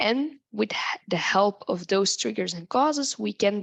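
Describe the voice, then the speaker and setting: A woman at medium pitch speaks with a non-native accent at a moderate pace. The sound is dry and close, with no echo. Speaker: tinnitus researcher and expert. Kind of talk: lecture.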